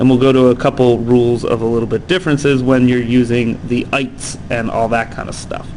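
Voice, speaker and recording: Speaking at a moderate pace, a man has a medium pitch. Noticeable background noise and audible room echo surround him. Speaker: chemistry teacher. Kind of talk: lecture. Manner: casual with many fillers.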